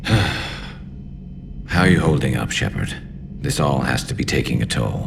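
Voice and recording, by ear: Using a put-on character voice with vocal fry, a man speaks at an extremely low pitch and a fairly slow pace, his intonation lively, over clear background noise.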